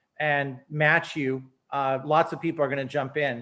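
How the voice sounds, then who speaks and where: A man with an American accent, monotone and flat in intonation, at a moderate pace. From Alaska, USA. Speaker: teacher and former political candidate. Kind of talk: interview answer.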